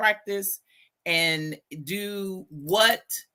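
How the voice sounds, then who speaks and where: On a very clean recording with a silent background, a woman with a Texas accent speaks at a medium pitch in a bright, sharp tone with ordinary pitch variation. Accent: Southern US (Texas). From US South, Southeast Texas (Beaumont). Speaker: educator. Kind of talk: podcast interview. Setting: live podcast.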